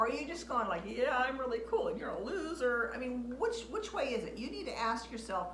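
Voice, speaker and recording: A woman speaks with audible room echo. There is noticeable background noise. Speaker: author and video blogger. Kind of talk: casual talk to camera. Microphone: waiting for new microphone, poor audio quality.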